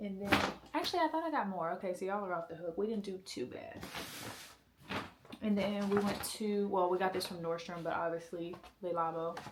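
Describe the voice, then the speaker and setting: A woman at a medium pitch talks at a fairly quick pace with ordinary pitch variation, taking long, frequent pauses over noticeable background noise. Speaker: lifestyle vlogger. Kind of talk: casual vlog chat.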